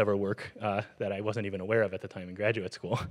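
A man is talking. Nothing much is heard behind him. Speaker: event host introducing the lecturer. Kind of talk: speaker introduction. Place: hall. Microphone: handheld.

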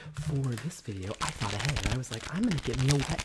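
Through loud background noise, a man's voice moves in very wide pitch swings. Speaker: ASMR creator. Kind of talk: casual talk to camera, ASMR. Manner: fast, emphatic with repeated aggressive phrases. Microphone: studio mic.

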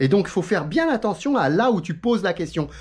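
Against a quiet background, a man talks in an animated tone, his pitch swinging very widely. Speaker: YouTuber on sim racing. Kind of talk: casual vlog monologue. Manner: fast. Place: home room. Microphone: phone near.

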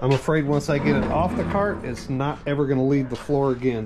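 This is a man speaking at a moderate pace. Noticeable background noise sits behind his voice. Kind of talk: casual tutorial walkthrough. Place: garage. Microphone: phone near.

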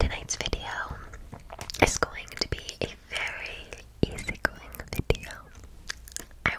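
A woman speaks. She is whispering. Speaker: ASMR creator. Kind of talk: ASMR whisper ramble to camera. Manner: whispered, soft-spoken. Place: home room. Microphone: studio mic.

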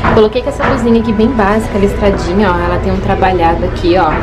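A woman speaks with music clearly audible in the background. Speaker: fashion vlogger. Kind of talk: casual vlog chat. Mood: cheerful, enthusiastic. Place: shop. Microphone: phone near.

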